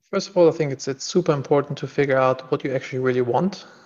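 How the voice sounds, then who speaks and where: This man has a German accent, a medium pitch and fairly even intonation. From Germany. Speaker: entrepreneur and executive coach. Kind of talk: interview.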